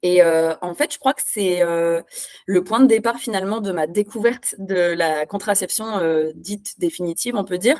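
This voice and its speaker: With a normal speaking voice, a woman talks at a moderate pace and medium pitch with lively intonation, in a dry, close sound with no echo. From France. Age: 30s. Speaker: instagram activist. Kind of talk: interview.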